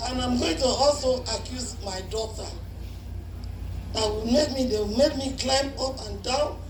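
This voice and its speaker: With audible room echo and noticeable background noise, a woman speaks at a high pitch and a fairly slow pace, leaving long, frequent pauses. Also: lively intonation. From Nigeria. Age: 70s. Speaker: politician and carnival band leader. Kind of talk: speech at a party. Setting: party with microphone, speaking through mask.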